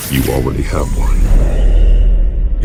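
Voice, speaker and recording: A man puts on a character voice. Loud background noise is heard behind him. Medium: short film. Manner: curt, menacing.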